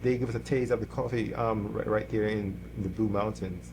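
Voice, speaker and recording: A man with a Jamaican accent at a moderate pace. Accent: Jamaican accent, noticeable. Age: 60s. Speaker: church musician, guitarist. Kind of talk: interview conversation. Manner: halting, many repetitions.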